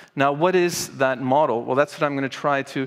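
A man talks with fairly level intonation, and the background is quiet. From Canada, Montreal. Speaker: professor of political philosophy. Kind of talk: conference talk. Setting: stage with audience. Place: hall. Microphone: headset.

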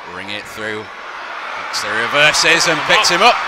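Against noticeable background noise, a man's speech moves at a fairly slow pace. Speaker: wrestling commentator. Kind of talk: live sports commentary, play-by-play of a wrestling match. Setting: arena with live crowd, commentary desk.

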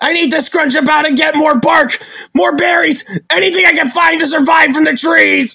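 A man performs a cartoonish character voice. His pitch is extremely high. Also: moderate pace. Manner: frantic, excitable.

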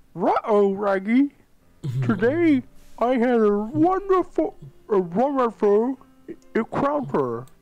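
A put-on character voice, fairly high in pitch with very wide pitch swings, at a very slow pace over faint music in the background. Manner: simpering, lovesick.

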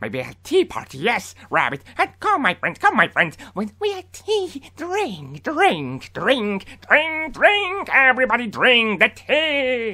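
In a put-on character voice, a man speaks at an extremely high pitch with very wide pitch swings. His pace is fairly slow, with hardly any pauses.

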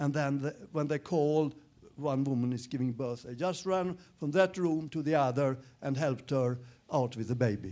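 A man's voice has a dark, mellow tone and ordinary pitch variation. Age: 70s. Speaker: doctor; lecturer. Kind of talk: lecture. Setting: stage with audience. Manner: slow. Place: hall. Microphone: handheld.

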